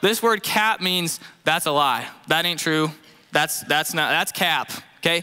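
A man's high-pitched voice with ordinary pitch variation against a quiet background. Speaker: youth pastor preaching. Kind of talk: sermon. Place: stage. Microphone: headset.

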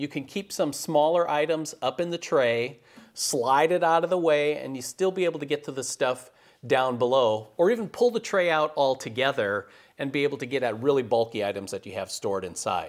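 The background is quiet while a man speaks at a fairly quick pace. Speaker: woodworking show host. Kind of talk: tutorial. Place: workshop. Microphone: lapel.

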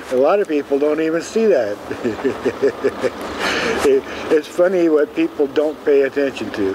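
An American accent comes through over noticeable background noise. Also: man. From Seattle, Washington. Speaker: street newspaper vendor. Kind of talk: interview answer. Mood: warm, a bit wistful. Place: street.

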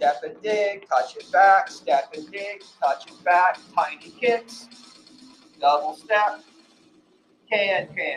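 A man's high voice at a very slow pace, with lively intonation, big swings in loudness, long and frequent pauses, and music in the background. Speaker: fitness instructor. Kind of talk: workout cueing. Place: gym. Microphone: camera far.

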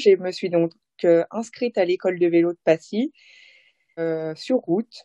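A woman's voice with ordinary pitch variation. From Haute-Savoie, French Alps. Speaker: professional cyclist. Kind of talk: interview. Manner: animated.

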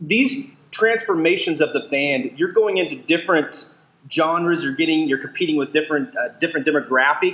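Fairly quick, lively speech from a high-pitched man over noticeable background noise. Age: 40s. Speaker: podcast co-host. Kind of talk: casual interview. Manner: animated.

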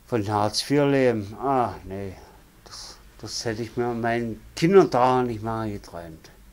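Moving very slowly, a man talks with ordinary pitch variation. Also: medium pitch for a man. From Saxony-Anhalt, Dessau. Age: 50s. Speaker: former railway worker, interviewee. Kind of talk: life story interview. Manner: halting, many fillers. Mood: resigned, plain-spoken. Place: home room.

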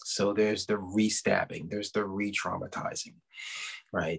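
A man talks at a moderate pace in an American accent. The background is quiet. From Baltimore, US. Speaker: police detective and poet. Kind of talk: poetry reading and author talk. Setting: video call, virtual festival. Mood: reflective, earnest. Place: home room. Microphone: video call.

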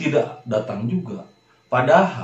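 Somewhat breathy, a man speaks with audible room echo around him. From Indonesia, Sukabumi, West Java. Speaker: religious video talk host. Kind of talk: religious monologue.

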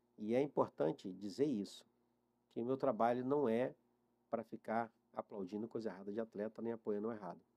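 A man's dark, mellow tone at a fairly quick pace, with ordinary pitch variation and long, frequent pauses. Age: 50s. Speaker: mental coach for athletes. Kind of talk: interview. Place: studio. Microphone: studio mic.

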